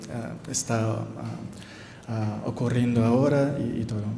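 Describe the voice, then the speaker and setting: With a Brazilian accent, a man talks at a very slow pace and a medium pitch, with noticeable background noise and audible room echo. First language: Portuguese (speaking Spanish). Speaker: anthropologist. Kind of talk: conference talk. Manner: halting, many fillers.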